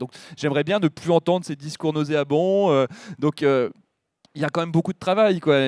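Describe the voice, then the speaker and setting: A man is recorded here. The sound is dry and close with no echo, and the recording is very clean against a silent background. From northern France, Pas-de-Calais countryside. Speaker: politician, member of parliament. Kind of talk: public talk interview. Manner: animated.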